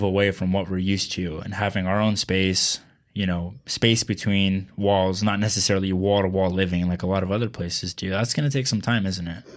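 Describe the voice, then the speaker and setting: A man with an American accent and a fairly low pitch talks at a moderate pace with ordinary pitch variation, in a very clean recording with a silent background. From Texas. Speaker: local news podcast host. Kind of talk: interview. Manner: halting, many fillers.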